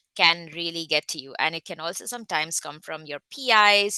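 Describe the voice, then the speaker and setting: In a quiet background with a dry, close sound and no echo, a woman with an Indian accent speaks at a moderate pace in a fairly low voice, with ordinary pitch variation and a bright, sharp tone. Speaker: research scientist. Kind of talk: online talk.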